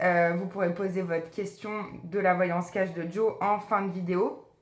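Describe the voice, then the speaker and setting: A woman talks at a fairly slow pace, with room echo audible. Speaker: psychic medium doing card readings. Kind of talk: tarot card reading video.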